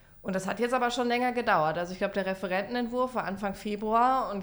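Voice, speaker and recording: Against noticeable background noise, a woman talks very fast with fairly even intonation. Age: 30s. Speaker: member of parliament. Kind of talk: casual chat.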